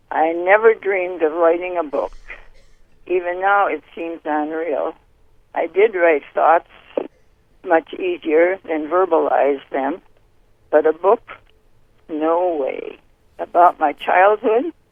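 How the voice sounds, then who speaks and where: Speaking at a very slow pace with long, frequent pauses, a woman with an American accent has a fairly low pitch and ordinary pitch variation. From US Midwest, rural Wisconsin. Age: 90s. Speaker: book author, retired nurse. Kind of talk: interview.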